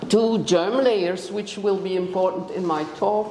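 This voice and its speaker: Through noticeable background noise and an audible room echo, a woman speaks at a fairly slow pace. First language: Dutch. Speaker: biology professor. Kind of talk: lecture. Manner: halting, many fillers.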